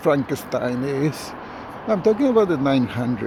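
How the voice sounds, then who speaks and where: At a moderate pace, a man speaks with a non-native accent in a fairly high pitch. Noticeable background noise runs underneath. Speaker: truck driver. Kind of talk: casual talk to camera. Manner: hesitant, rambling.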